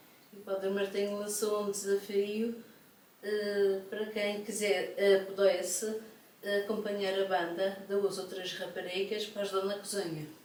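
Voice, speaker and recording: A woman speaks at medium pitch and a fairly slow pace, in a monotone, flat intonation. Audible room echo and noticeable background noise accompany her. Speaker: retired civil servant, folk dancer. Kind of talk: casual interview.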